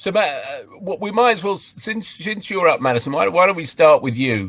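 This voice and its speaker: A man with a strong English accent speaks at a moderate pace in a high pitch and lively intonation, over noticeable background noise. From England. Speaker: professor. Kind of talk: panel Q&A.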